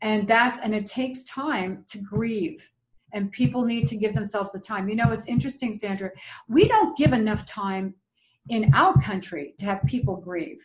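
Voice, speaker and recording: With a normal speaking voice at a fairly high pitch, a woman talks at a moderate pace, her intonation lively and her loudness swinging widely. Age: 60s. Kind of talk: interview.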